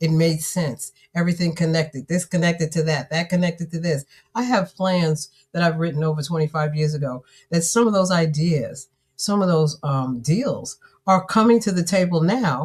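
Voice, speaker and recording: A woman with a fairly low, somewhat breathy voice speaks at a moderate pace with ordinary pitch variation. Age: 60s. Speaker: author and business coach. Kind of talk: live-streamed conversation. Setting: live stream. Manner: animated.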